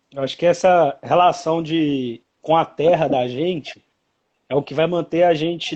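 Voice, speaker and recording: A man speaks slowly-ish, at a fairly slow pace, in a fairly high pitch with ordinary pitch variation. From Minas Gerais. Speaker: poet. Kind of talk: casual interview talk.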